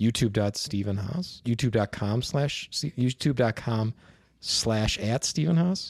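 In a very clean, dry and close recording with a silent background and no echo, a speaker with an American accent talks at a fairly slow pace with lively intonation. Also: man, medium pitch for a man. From Chicago. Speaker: comedian. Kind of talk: casual interview chat. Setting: podcast interview with headphones. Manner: low-energy, laid-back.

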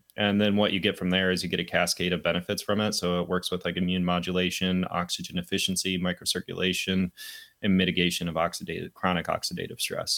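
A man with an American accent talks at a very fast pace in a very deep, low pitch and a bright, sharp tone, his intonation monotone and flat and his loudness very even, in a very clean recording with a silent background. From US Midwest, rural Michigan. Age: 20s. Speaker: health entrepreneur, cold therapy advocate. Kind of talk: casual interview chat.

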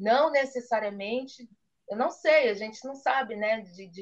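Lively intonation marks a woman's normal speaking voice at a moderate pace. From Brazil, Campinas (São Paulo state). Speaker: chocolate maker. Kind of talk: interview.

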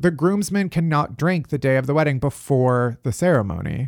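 A man with an American accent speaks at a fairly slow pace, his pitch fairly high and intonation lively. The sound is dry and close, with no echo. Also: very clean recording, silent background. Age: 30s. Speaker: podcast host. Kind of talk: casual chat. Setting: home office.

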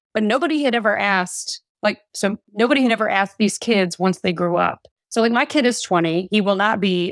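A woman with an unremarkable speaking voice talks at a fairly quick pace, medium in pitch with ordinary pitch variation, in a dry, close sound with no echo. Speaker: parenting and relationship coach. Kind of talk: podcast interview.

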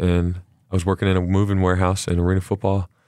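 On a very clean recording with a silent background, a man with a very deep, low pitch and a Texan accent speaks very fast in a monotone, flat intonation. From Texas. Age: 30s. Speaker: arena football quarterback. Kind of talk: casual interview. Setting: studio. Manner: halting, many fillers.

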